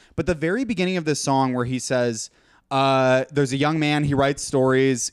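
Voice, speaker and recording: In a very clean recording with a silent background, a man speaks at medium pitch with ordinary pitch variation. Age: young. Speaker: video editor and YouTuber. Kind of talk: casual chat.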